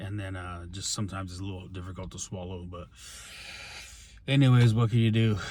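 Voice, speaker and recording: A man speaks very fast in a very deep, low voice, somewhat breathy, with ordinary pitch variation and audible room echo. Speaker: pro wrestler and wrestling coach. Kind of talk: casual vlog. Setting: at the gym and a store. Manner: halting, many fillers.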